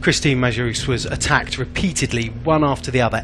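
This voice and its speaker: Over noticeable background noise, a man talks at a fairly quick pace. His pitch is medium, with ordinary variation. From Britain. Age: old. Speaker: cycling commentator. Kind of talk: live commentary. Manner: halting.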